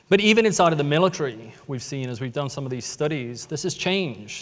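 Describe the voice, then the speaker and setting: With an American accent, a man speaks at a fairly quick pace and a fairly high pitch. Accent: British with American tinge, mid-Atlantic. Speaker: tech company storyteller. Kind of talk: conference talk.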